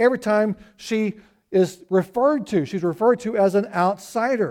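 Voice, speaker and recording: A man with a Southern US accent speaks at a moderate pace in a high voice, with ordinary pitch variation. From Arkansas (US South). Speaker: pastor. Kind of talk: sermon.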